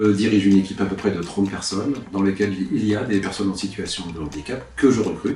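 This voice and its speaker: Over music in the background, a man talks at a fairly quick pace in a fairly low voice. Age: 50s. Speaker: manager and part-time university lecturer. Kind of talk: interview answer.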